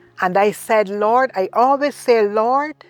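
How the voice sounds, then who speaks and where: Over background music, a woman with a Barbadian accent talks at a medium pitch with lively intonation, in a dry, close sound with no echo. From Barbados. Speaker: retired teacher. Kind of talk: interview answer.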